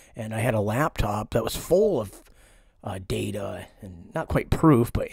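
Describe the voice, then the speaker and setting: In an American accent, a man speaks at a fairly low pitch, sounding somewhat breathy. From Pennsylvania, US. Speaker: conspiracy vlogger. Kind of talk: vlog monologue. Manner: halting.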